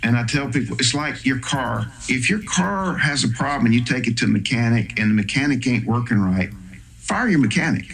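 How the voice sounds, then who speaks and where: With an American accent, a man talks at a fairly quick pace and medium pitch, his loudness very even, amid noticeable background noise and audible room echo. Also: ordinary pitch variation. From US South. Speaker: psychotherapist. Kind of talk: interview. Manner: casual, conversational.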